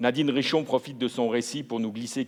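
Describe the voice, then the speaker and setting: A man speaks with an unremarkable speaking voice. His pitch is medium, and his intonation is fairly even. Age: 60s. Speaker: literary jury member. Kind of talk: book presentation at award ceremony. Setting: ceremony hall.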